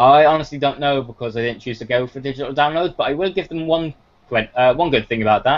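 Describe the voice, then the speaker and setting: A man speaks at a very fast pace with a British accent. His pitch is fairly high. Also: ordinary pitch variation. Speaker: gaming radio show host. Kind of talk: casual chat.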